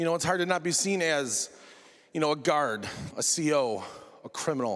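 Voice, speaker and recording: Western New York accent from a man with a fairly high pitch, moderate pace and ordinary pitch variation. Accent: Western New York (Inland North) American. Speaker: correctional officer and stand-up comedian. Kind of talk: TEDx talk with comedic delivery. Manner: casual, sarcastic, conversational.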